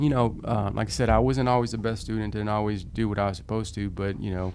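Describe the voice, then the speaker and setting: A man with a fairly low pitch and ordinary pitch variation talks at a very fast pace, with audible room echo around him. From Dallas, Texas (Oak Cliff). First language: Spanish. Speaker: prosecutor and judicial candidate. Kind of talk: interview. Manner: halting, many fillers.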